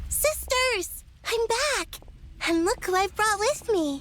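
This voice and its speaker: Putting on a squeaky character voice, a woman speaks at an extremely high pitch with lively intonation and very even loudness, at a fairly slow pace over clear background noise. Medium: video game.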